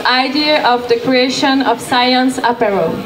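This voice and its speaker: A woman's high voice with a non-native accent, fairly even intonation and a very slow pace, with audible room echo and noticeable background noise. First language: French. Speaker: event moderator. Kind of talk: event moderation.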